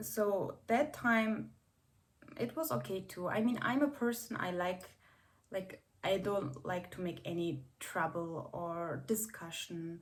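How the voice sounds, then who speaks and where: A woman with a non-native accent speaks very slowly, somewhat breathy, her pitch making very wide swings. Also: medium pitch for a woman. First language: not English. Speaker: vlogger. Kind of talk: casual vlog talk. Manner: hesitant, many fillers.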